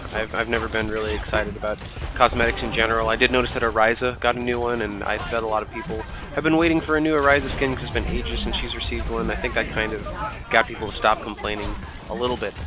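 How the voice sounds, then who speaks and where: Music plays in the background. Over it, a man talks at a very fast pace. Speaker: gaming commentator. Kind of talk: gameplay commentary.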